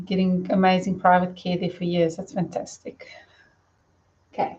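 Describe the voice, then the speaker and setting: A woman mumbles at a moderate pace in a somewhat breathy voice. Her intonation stays flat and monotone. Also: medium pitch for a woman. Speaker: spiritual medium. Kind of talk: live stream talk. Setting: live stream. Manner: mumbling.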